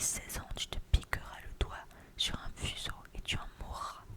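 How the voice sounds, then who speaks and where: Someone whispers at a very slow pace against noticeable background noise. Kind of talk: whispered ASMR story reading. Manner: whispered, soft.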